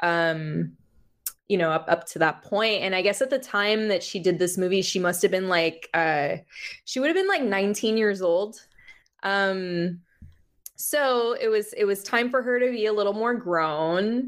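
In a plain, everyday voice, a woman speaks with an American accent at a medium pitch, with ordinary pitch variation and a fairly slow pace. The recording is very clean, with a silent background. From Florida, Miami (Cuban American family). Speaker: music journalist. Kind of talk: casual chat. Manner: frequent laughter and filler words.

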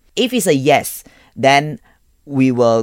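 The recording is dry and close, without any echo. In it, a man talks. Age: 30s. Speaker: food content creator. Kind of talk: casual chat. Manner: animated.

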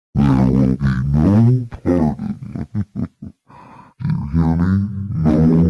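A booming, menacing put-on character voice at a very slow pace, with long, frequent pauses. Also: man, very deep, low pitch for a man. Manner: menacing, commanding.

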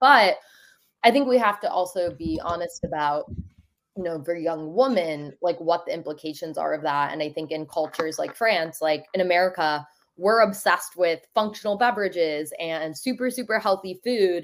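Here is a woman with an ordinary speaking voice, pitched fairly low. She speaks at a moderate pace with lively intonation. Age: 20s. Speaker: digital wellbeing activist, nonprofit founder. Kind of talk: casual interview. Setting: remote call.

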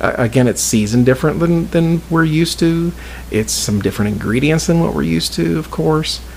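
This man's pitch swings very widely while noticeable background noise sits behind him. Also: medium pitch for a man. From southern Indiana. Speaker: podcast host. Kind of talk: casual chat. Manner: animated.

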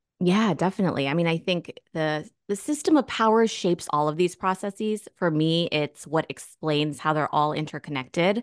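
With an unremarkable speaking voice, a woman with an American accent and fairly low pitch talks at a moderate pace with hardly any pauses and ordinary pitch variation, dry and close with no echo against a quiet background. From US, Northern Virginia. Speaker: sociology professor and author. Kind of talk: interview.

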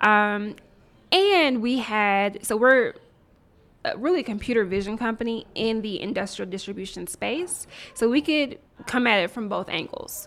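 In a very clean recording with a silent background, a woman speaks fairly slowly in an unremarkable speaking voice, fairly high in pitch with lively intonation. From US South, Nashville, Tennessee. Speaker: tech entrepreneur. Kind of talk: interview.

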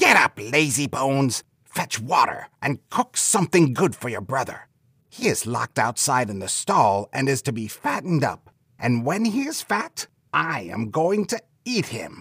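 Here a man uses a put-on character voice. His pitch is medium. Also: moderate pace. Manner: harsh, commanding.

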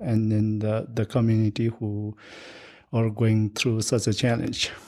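This man speaks with a Nepali accent at a medium pitch. His tone is dark and mellow. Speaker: guest, Sherpa guide. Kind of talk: casual interview. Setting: home in Boulder. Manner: halting, many fillers.

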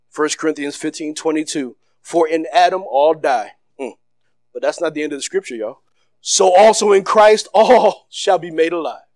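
A man speaks at a moderate pace with a high pitch and ordinary pitch variation. His tone is excited and animated, with big swings in loudness. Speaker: pastor. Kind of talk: fiery church sermon with call-and-response to the congregation. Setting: church service with live congregation. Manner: loud and animated, moving around the stage; excited, laughing bursts with urgent rising exhortation.

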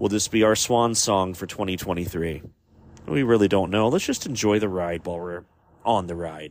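A man with a very deep, low voice talks at a moderate pace, his pitch varying an ordinary amount. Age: 40s. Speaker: podcast host. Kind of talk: solo podcast monologue.

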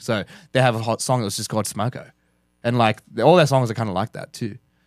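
In an Australian accent, a man races along at a very fast pace, with a dry, close sound and no echo. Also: very clean recording, silent background. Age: 30s. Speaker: hardcore band member. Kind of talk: casual chat.

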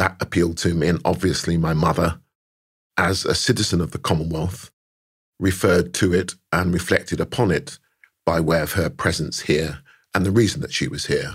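A man with a London accent speaks in a very deep, low, somewhat breathy voice with ordinary pitch variation. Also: moderate pace. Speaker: karate champion and sports official. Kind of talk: interview answers.

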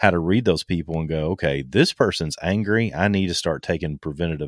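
Very deep, low-pitched man with vocal fry and ordinary pitch variation, fairly quick, on a very clean recording with a silent background. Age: 50s. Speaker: survival instructor and author. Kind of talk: casual interview.

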